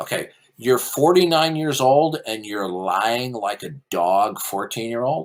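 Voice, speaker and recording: In a very clean recording with a silent background, a man with an unremarkable speaking voice talks at a fairly slow pace with lively intonation. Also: medium pitch for a man. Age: 60s. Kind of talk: heated debate. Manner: forceful.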